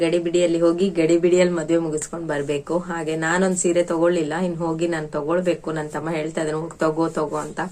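A woman's fairly low, monotone voice with flat intonation amid noticeable background noise. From Kundapura, coastal Karnataka. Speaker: vlogger and homemaker. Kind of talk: casual vlog narration.

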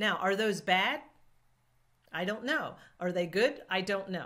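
With a bright, sharp tone, a woman keeps to a moderate tempo. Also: quiet background. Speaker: YouTube tips creator. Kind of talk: tutorial. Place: home room.

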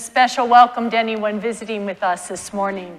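A woman is speaking. Her pitch varies in an ordinary way. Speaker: priest leading worship. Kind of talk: liturgical reading. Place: church.

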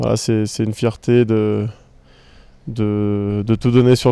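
A man's medium-pitched voice, dark and mellow in tone, with flat, monotone intonation. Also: dry sound with no echo. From France. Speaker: football player. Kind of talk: interview. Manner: halting, many repetitions and fillers. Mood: calm, proud, confident. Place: garden. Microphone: handheld.

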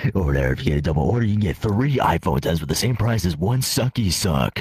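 A man in a put-on character voice talks at a very fast pace with a very deep, low pitch. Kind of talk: comic overacting.

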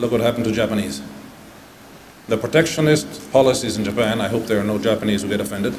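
A man with an Italian accent swings his pitch very widely. There is light background noise. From southern Italy. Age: 60s. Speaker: ambassador; keynote speaker. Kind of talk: conference speech. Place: hall. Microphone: podium.

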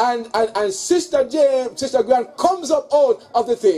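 With a moderate pace, a man's pitch swings very widely. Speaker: preacher at a funeral. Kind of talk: sermon. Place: tent. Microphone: handheld.

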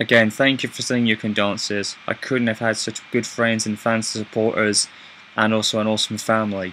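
A man with a British accent, flat monotone intonation, a fairly quick pace, and light background noise. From Britain. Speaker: YouTuber. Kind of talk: personal video update. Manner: halting. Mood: subdued, grateful. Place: home room. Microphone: webcam.

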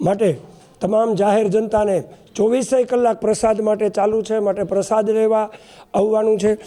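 A man talks in a dark, mellow tone at a high pitch, with flat, monotone intonation. His loudness stays very even. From Porbandar area, Gujarat. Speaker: village resident, event organizer. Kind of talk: media interview announcement.

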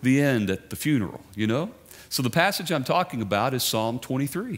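Keeping a moderate pace, a man does the talking. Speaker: guest preacher. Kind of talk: sermon. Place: church. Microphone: headset.

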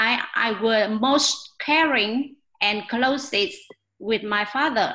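At a very slow pace, a woman with a Vietnamese accent speaks in a fairly high pitch with ordinary pitch variation against a quiet background. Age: 40s. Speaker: English learner. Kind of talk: prepared speech practice. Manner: halting. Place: home room. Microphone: webcam.

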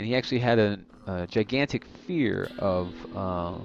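Over light background noise, a man with a plain, everyday voice speaks at a fairly low pitch with ordinary pitch variation, the sound dry with no echo. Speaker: gamer. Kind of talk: gameplay commentary.

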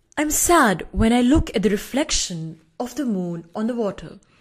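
Somewhat breathy, a woman's voice makes very wide pitch swings against a quiet background. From India. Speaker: poet. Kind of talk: poetry reading. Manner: hesitant, with fillers. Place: home room. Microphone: studio mic.

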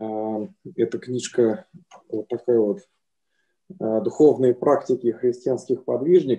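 Lively intonation at a very slow pace, with a dark, mellow tone over a quiet background. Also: man. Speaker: audience member. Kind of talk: asking a question. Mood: calm, thoughtful. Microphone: video call.

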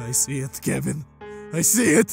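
With faint music in the background, a man does a cartoonish character voice at a fairly high pitch, with a slightly husky edge, vocal fry and lively intonation, at a moderate pace.

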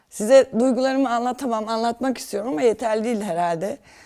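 A woman speaks in a high voice with a dark, mellow tone and ordinary pitch variation. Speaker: dental patient. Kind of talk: testimony.

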